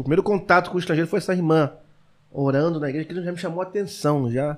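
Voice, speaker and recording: A man with a fairly high voice talks at a very fast clip. His pitch moves up and down in an ordinary way. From Brazil, Rio de Janeiro (Cordovil). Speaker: pastor and missionary. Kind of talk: casual chat. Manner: fast, rushed speech (tachylalia).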